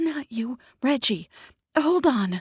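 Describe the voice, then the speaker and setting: A breathy, high, female-sounding put-on character voice. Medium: read story. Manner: frantic, breathless.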